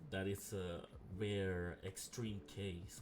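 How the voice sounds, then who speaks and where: A soft-spoken man talks very slowly in a very deep, low voice. Background noise is noticeable. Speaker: game modding tutorial creator. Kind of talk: tutorial. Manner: hesitant, many filler ums.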